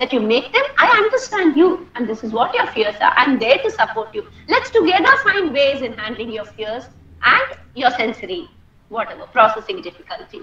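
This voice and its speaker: A woman speaks at a moderate pace, her pitch swinging very widely and her loudness rising and falling a lot. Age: 60s. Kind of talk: talk to parents.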